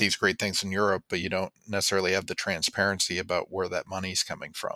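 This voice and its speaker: Very deep and low, this man's voice has a bright, sharp tone and moves at a fairly quick pace with hardly any pauses. The sound is dry and close with no echo, on a very clean recording with a silent background. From Vermont. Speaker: political candidate. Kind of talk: interview.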